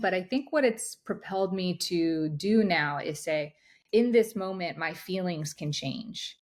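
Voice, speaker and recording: An ordinary speaking voice from a woman, lively in intonation and fairly slow, on a very clean recording with a silent background. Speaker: high-performance coach. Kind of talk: interview.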